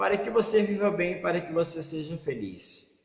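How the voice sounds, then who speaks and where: A man talks at a moderate pace. Audible room echo fills the recording. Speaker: pastor. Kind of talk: sermon.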